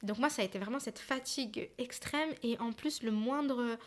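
A woman with a plain, everyday voice talks at a fairly high pitch, with ordinary pitch variation. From Paris region. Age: 30s. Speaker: film director and activist. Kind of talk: casual chat.

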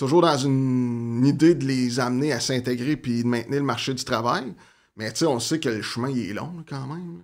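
At a medium pitch and moderate pace, a man talks with ordinary pitch variation in an unremarkable speaking voice. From Quebec, Gatineau (Outaouais). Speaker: community organization worker in offender reintegration. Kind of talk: interview conversation.

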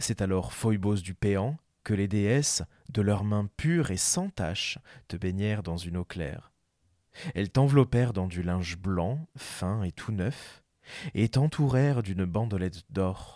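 Very slowly, a man speaks in a fairly low voice with a dark, mellow tone. The sound is dry and close with no echo, on a very clean recording with a silent background. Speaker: podcast narrator. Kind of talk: epic mythic narration, reading ancient Greek poetry aloud. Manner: solemn, measured, lyrical.

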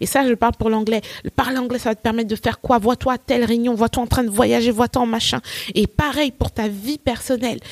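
This woman speaks at a fairly quick pace in a fairly high pitch, her intonation monotone and flat, and the sound is dry and close with no echo. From Côte d'Ivoire (Nigerian family), then France from age 12. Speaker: English teacher and entrepreneur. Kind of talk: interview.

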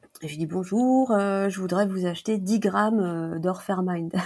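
Here a woman speaks in a medium pitch. Her pitch variation is ordinary. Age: 40s. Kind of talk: interview. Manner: hesitant, many fillers.

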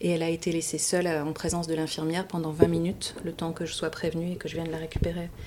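This woman speaks with a fairly low pitch. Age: 40s. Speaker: mother and parenting facilitator. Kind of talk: testimony.

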